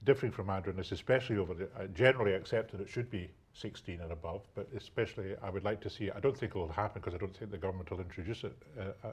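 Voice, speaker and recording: A man talks very fast in a fairly low voice with a Scottish accent. His voice is somewhat breathy, and his pitch varies in an ordinary way. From Scotland. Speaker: local politician. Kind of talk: live studio debate. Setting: TV studio. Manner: halting, repetitive fillers.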